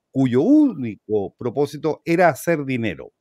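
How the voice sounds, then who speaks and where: A man's voice, dry and echo-free, against a quiet background. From Chile. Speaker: talk show host. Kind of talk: interview. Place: home room. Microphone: webcam.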